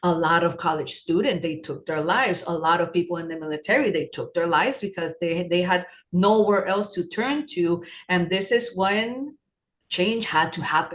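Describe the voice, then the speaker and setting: Fairly low-pitched woman in a normal speaking voice, with ordinary pitch variation. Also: moderate pace. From New York City, Puerto Rican parents. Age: 50s. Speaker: holistic wellness practitioner. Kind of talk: podcast interview.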